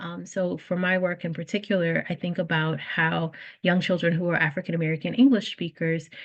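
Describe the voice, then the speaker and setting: At a fairly quick pace, a woman speaks in a somewhat breathy, fairly low voice. Her intonation stays fairly even. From South Louisiana. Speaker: early childhood teacher educator. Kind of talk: panel discussion.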